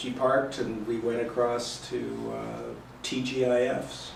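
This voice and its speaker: The speaker talks at a fairly slow pace with a General American accent. There is noticeable background noise. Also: man. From northern Colorado, USA. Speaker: mixed-race adoptee. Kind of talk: oral history interview answer.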